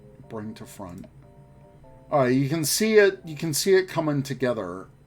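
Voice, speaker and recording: A man speaks with music in the background. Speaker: streamer. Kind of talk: live stream tutorial chat. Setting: live stream. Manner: casual, chatty.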